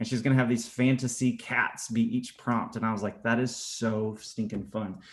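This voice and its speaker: Monotone and flat, a man at medium pitch talks at a moderate pace. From US South, Atlanta. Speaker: art teacher. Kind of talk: casual chat. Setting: video call.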